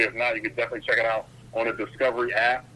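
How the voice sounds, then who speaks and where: A man's very fast speech with noticeable background noise. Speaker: ring announcer and TV host. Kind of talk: interview answer. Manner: enthusiastic, upbeat.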